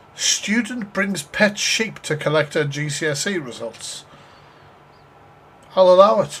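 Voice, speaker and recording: Speaking fairly slowly with a northeast English accent, a man uses a high pitch and lively intonation, leaving long, frequent pauses. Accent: northeast England. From northeast England, Sunderland. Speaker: live stream reaction host. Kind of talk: casual live stream reaction commentary. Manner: animated.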